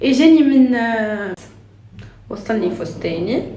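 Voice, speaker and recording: With audible room echo and noticeable background noise, the voice carries lively intonation. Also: woman. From Tunisia. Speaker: lifestyle vlogger. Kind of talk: casual vlog chat. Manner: halting, many fillers and restarts.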